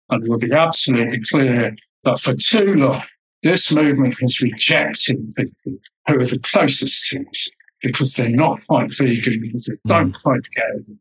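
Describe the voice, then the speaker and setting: With an English accent, a man talks at medium pitch and a moderate pace, using ordinary pitch variation. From Mediterranean (raised there, English family). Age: 60s. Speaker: vegan event organiser. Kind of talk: interview.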